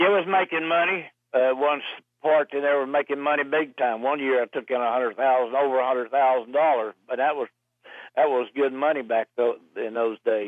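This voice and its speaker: A man with a Southern US accent, medium pitch, ordinary pitch variation, and a fairly quick pace. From US South, Roanoke Virginia. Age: 70s. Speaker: racing driver. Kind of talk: interview. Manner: halting.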